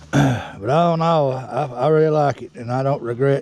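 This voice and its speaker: The man's voice sits at a medium pitch. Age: 60s. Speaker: dirt bike rider reviewing his bike. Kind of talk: casual product review. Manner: halting, repeats words.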